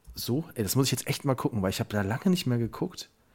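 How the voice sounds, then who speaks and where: A man's somewhat breathy, medium-pitched voice. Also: very clean recording, silent background. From Germany, Westerwald. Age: 30s. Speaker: podcast co-host. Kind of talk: casual chat.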